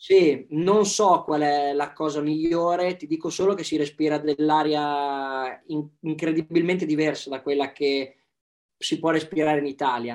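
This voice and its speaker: The man speaks at a fairly high pitch. His pace is fairly slow and his intonation fairly even. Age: young. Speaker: athlete. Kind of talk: casual chat.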